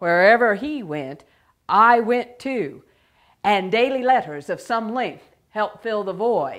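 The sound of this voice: An unforced reading voice sounds out over a quiet background.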